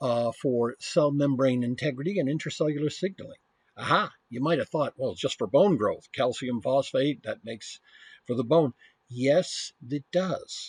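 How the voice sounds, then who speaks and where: Somewhat breathy and fairly high-pitched, a man with an American accent speaks with ordinary pitch variation in a dry, close sound with no echo. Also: moderate pace, quiet background. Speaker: university professor. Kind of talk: lecture.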